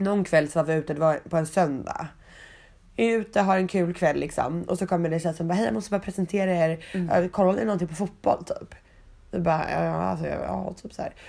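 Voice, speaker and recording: A woman talks at a fairly quick pace in a fairly low, dark and mellow voice with vocal fry. The recording is very clean and the background silent. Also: ordinary pitch variation. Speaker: podcast host. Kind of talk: casual chat.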